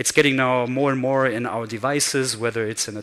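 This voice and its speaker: A man with a German accent, medium pitch and fairly even intonation. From Germany. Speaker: conference speaker. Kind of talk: keynote talk. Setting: stage with audience.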